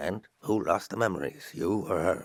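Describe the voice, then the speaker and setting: A man puts on a raspy character voice with a fairly low pitch. He moves at a moderate pace with lively intonation. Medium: video game. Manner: world-weary, blunt.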